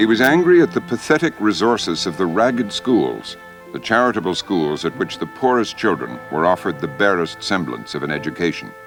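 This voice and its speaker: A man's very deep, low voice at a fairly quick pace, with very wide pitch swings and music in the background. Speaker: TV host. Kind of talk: documentary narration.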